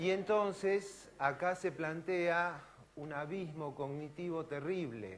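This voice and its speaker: A man speaks at a very slow pace. Echo from the room is clearly audible. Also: fairly high pitch for a man, ordinary pitch variation. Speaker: physician and professor. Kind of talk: lecture.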